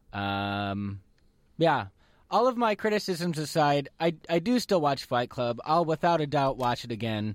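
A man with a fairly high pitch talks at a fairly slow pace, his pitch swinging very widely. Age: 30s. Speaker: radio host. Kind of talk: casual chat.

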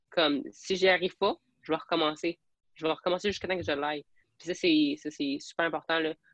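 A plain, everyday voice at a fairly quick pace with ordinary pitch variation in a dry, close sound with no echo. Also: woman, fairly low pitch for a woman. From Alberta, francophone community, then Quebec from age 12. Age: 20s. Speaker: police trainee and fitness athlete. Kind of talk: podcast interview.

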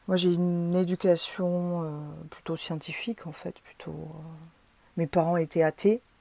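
This woman speaks at a fairly slow pace in a fairly low pitch with a monotone, flat intonation, a dark, mellow tone, long, frequent pauses, and big swings in loudness, all in a dry, close sound with no echo. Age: 40s. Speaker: psychedelic experience witness. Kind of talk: testimony. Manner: hesitant, many filler sounds.

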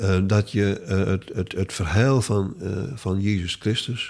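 In a very clean recording with a silent background, a man talks very slowly at a fairly low pitch with fairly even intonation. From Stellingwerf, Friesland, Netherlands. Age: 70s. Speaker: author and retired linguistics lecturer. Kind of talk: interview conversation. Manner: halting, many hesitations.

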